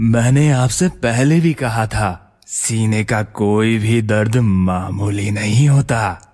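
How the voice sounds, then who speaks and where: A man in a put-on character voice, medium in pitch, at a very slow pace. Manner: smooth, sinister, gleeful.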